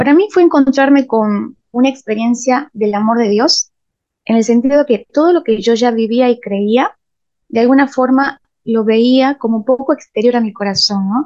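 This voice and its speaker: Recorded dry and close with no echo, a woman speaks at a high pitch with a dark, mellow tone, a moderate pace and very even loudness. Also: ordinary pitch variation. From Argentina, Salta (Rosario de la Frontera). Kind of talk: interview.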